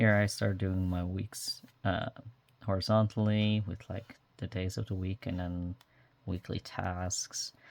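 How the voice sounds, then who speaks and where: On a very clean recording with a silent background, a man speaks at a fairly low pitch in a monotone. The sound is dry and close, with no echo. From Netherlands. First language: Dutch. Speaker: journaling vlogger. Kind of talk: casual show-and-tell tutorial. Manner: many fillers, um and uh.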